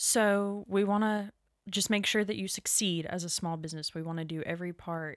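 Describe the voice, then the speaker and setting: This normal speaking voice with an American accent moves at a moderate pace with fairly even intonation in a very clean recording with a silent background. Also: woman, medium pitch for a woman. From Florida (Crestview). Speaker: executive assistant at a nonprofit. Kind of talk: casual interview.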